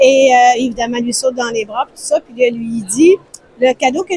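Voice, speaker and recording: A woman with a Quebec accent at a high pitch, moderate pace and ordinary pitch variation, dry and close with no echo, noticeable background noise behind her. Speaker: publishing house representative. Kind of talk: interview answer.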